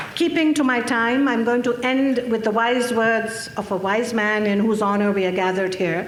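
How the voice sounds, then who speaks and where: A woman's fairly high voice at a moderate pace, with ordinary pitch variation and very even loudness, audible room echo and noticeable background noise. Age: 60s. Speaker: activist speaker. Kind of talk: conference speech. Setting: stage with audience.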